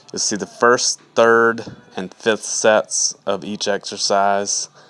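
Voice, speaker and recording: A man speaks in a fairly low pitch. His intonation is monotone and flat, and his pace is fairly slow. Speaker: fitness vlogger and personal trainer. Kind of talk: video voiceover narration. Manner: casual.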